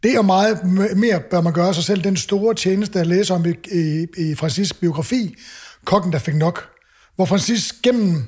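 With ordinary pitch variation, a man speaks in a high register. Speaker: podcast host and chef. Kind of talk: casual chat.

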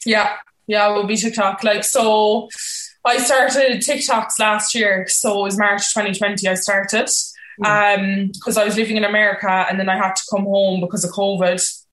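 A woman's medium-pitched voice moves at a moderate pace with fairly even intonation. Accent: Cork. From Cork, Ireland. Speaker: content creator. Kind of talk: casual interview chat.

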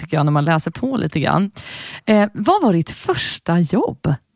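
A woman with an unremarkable speaking voice talks at a moderate pace, her pitch fairly low and her intonation lively. The sound is dry and close, with no echo. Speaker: podcast host and singer. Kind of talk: interview.

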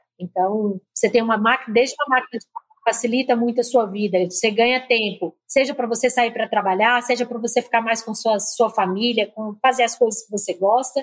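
A woman with a fairly high pitch talks at a fairly quick pace, her intonation fairly even but her loudness swinging widely. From Minas Gerais, Brazil. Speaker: marketing executive. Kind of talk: interview.

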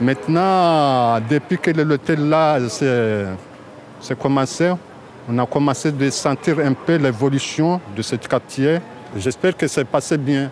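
Amid noticeable background noise, a man with a fairly high voice talks at a very slow pace, with ordinary pitch variation and very even loudness. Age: 40s. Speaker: local resident displaced by building collapse. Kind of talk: street interview.

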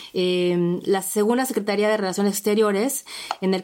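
Fairly even in intonation, a woman speaks at a medium pitch. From Mexico. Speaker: podcast host. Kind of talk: podcast interview. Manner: halting, repeats words.

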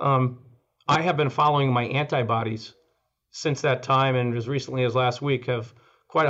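Here is an ordinary speaking voice from a man at a medium pitch. He keeps a moderate pace and fairly even intonation. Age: 60s. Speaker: oral surgeon. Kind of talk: interview.

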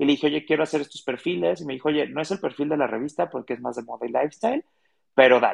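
Here a man speaks with a fairly high pitch and ordinary pitch variation. The sound is dry and close, with no echo. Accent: Guadalajara. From Mexico, Guadalajara. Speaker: author and radio host. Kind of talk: interview.

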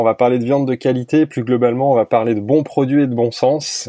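A man with a plain, everyday voice and medium pitch talks at a fairly quick pace, captured in a dry, close sound with no echo. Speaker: podcast host. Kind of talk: casual interview. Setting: remote recording.

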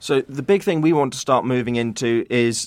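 The speaker is a man with a British accent. He talks at a fairly quick pace. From UK. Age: 20s. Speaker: aid charity founder. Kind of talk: interview.

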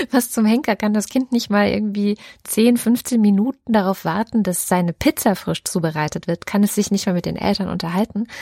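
Dry and close with no echo, the recording carries a woman's normal speaking voice at medium pitch, with ordinary pitch variation and a moderate pace. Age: 30s. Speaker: podcast co-host. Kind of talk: casual chat.

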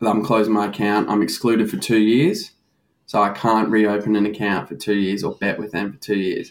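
Speaking at a fairly quick pace, a man with an Australian accent has a fairly low pitch and fairly even intonation on a very clean recording with a silent background. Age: 20s. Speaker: recovering gambling addict. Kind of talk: candid interview.

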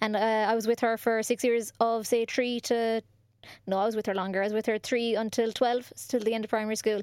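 Woman with a Cork accent at a fairly quick pace, very clean recording and silent background. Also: fairly high pitch for a woman. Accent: Cork Irish. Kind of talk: casual chat. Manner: animated.

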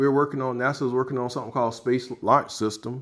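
A man with an American accent talks very fast in a very clean recording with a silent background. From South Carolina, US South. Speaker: rocket scientist and pitmaster. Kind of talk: interview.

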